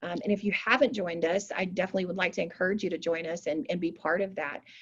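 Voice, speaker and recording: A woman of medium pitch speaks at a very fast pace. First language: American Sign Language. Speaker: community organizer / workshop host. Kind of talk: online workshop presentation. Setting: video call.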